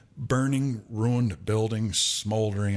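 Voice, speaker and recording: A man speaks in an ordinary speaking voice, fairly low in pitch with ordinary pitch variation. The recording is very clean, with a silent background. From Michigan, Flint east side. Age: 60s. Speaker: podcast co-host. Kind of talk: casual chat.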